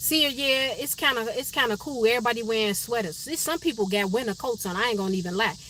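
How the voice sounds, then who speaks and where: Against noticeable background noise, a woman with an American accent talks at a very fast pace, her pitch fairly high and her intonation lively. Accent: sounds country (per viewer). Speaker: livestream host. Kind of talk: casual live stream chat with viewers. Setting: live stream from her car.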